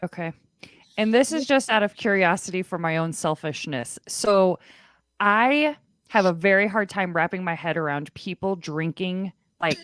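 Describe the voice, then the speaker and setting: Over a silent background in a very clean recording, a woman with an ordinary speaking voice at medium pitch talks at a moderate pace with lively intonation, the sound dry and close with no echo. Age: 30s. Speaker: podcast host. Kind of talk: interview.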